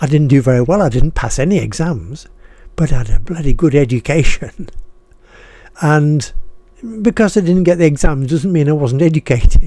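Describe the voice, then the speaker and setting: A man's fairly high voice with a northern English accent, dark and mellow in tone, at a moderate pace with long, frequent pauses and ordinary pitch variation. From northern England (Harrogate, Yorkshire; schooled in Boston, Lincolnshire). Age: 80s+. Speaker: retired writer and video blogger. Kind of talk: casual monologue, personal reflection. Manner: halting, with repetitions; passionate.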